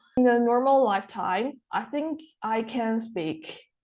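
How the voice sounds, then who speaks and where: Against a quiet background, a woman with a non-native accent talks very slowly at a fairly high pitch. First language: not English. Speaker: international student. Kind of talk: interview answers. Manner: halting.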